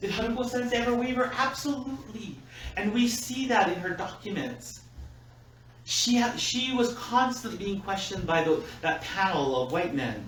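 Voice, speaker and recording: A man talks loudly at a high pitch with lively intonation and a moderate pace. Noticeable background noise and audible room echo surround him. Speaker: minister. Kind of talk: sermon. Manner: animated.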